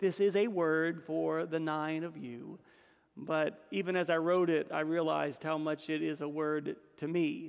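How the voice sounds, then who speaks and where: Over a quiet background, a man talks at a fairly slow pace with fairly even intonation. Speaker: priest. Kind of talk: sermon. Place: church. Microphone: podium.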